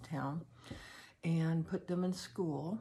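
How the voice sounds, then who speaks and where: A somewhat breathy woman's voice, very deep and low, in a flat monotone at a very slow pace. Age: 70s. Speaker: personal storyteller. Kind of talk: personal testimony. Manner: halting, with many fillers.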